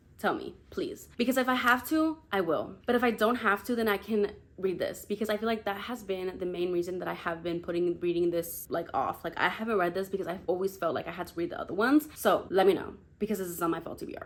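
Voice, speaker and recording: A woman with a non-native accent talks at a very fast pace with hardly any pauses. Her medium-pitched voice has lively intonation. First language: not English. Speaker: book YouTuber. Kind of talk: casual chat. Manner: animated.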